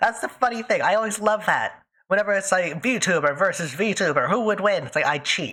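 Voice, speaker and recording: A woman's medium-pitched voice, animated in tone, with lively intonation, a fairly quick pace, and very even loudness. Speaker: VTuber streamer. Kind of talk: casual livestream chat. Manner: fast, speeds up when excited.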